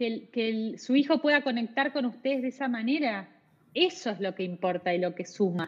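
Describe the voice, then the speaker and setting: A woman with a Rioplatense accent speaks at a moderate pace. Her pitch is fairly high and her intonation lively. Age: 40s. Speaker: psychologist, adoption specialist. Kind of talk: interview.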